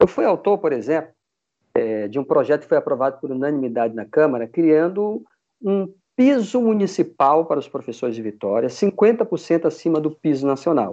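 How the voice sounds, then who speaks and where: Against a quiet background, a dark, mellow voice moves through very wide pitch swings and big swings in loudness. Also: man, fairly high pitch for a man, moderate pace. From Amazonas, Brazil (Manaus). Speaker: city councillor and mayoral candidate, history teacher. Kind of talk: political interview.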